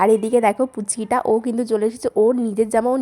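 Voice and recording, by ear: Speaking at a very fast pace, a woman uses a fairly high pitch, fairly even intonation and a slightly mellow tone.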